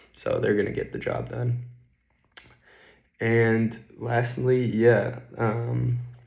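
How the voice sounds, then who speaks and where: A man at a very slow pace with long, frequent pauses and audible room echo. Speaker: finance YouTuber. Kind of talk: casual vlog.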